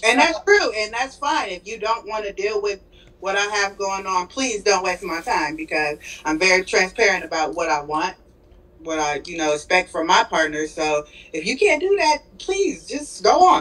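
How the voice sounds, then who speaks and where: A woman at a moderate pace with lively intonation. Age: 30s. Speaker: caller. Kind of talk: casual chat. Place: home room. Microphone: video call.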